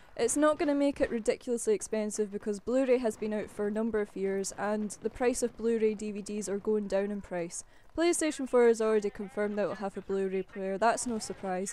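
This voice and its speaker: Fairly high in pitch yet dark and mellow in tone, a woman with a Scottish accent talks at a fairly quick pace. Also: ordinary pitch variation, hardly any pauses. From Scotland. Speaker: gaming YouTuber. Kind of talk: casual vlog commentary. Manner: chatty, informal.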